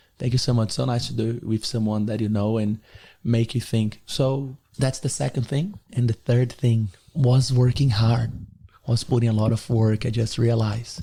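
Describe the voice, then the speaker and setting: A man's dark, mellow, somewhat breathy voice with a Brazilian accent. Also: medium pitch for a man, moderate pace. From Brazil, Rio de Janeiro. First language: Portuguese. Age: 20s. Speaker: podcast guest, motivational figure. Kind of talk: casual interview chat. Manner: animated.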